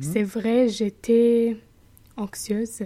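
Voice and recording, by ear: Very slowly, a woman speaks at a fairly high pitch with a dark, mellow tone and fairly even intonation.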